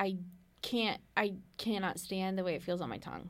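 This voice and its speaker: A woman speaks at a moderate pace with fairly even intonation. Hers is an unremarkable speaking voice. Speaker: podcast co-host. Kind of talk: casual podcast chat.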